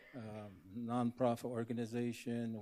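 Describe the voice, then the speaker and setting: A man speaks in a Southwestern US accent at medium pitch. His tone is dark and mellow. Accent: Navajo-accented English. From Navajo Nation, US Southwest. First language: Navajo. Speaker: professor, panelist. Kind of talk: conference panel introduction. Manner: halting.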